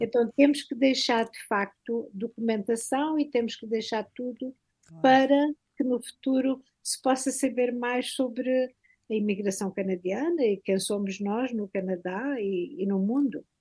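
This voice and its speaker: A woman's high-pitched voice with a dark, mellow tone, ordinary pitch variation and a fairly slow pace. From Portugal, Alentejo (village near Beja). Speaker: university professor. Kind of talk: interview.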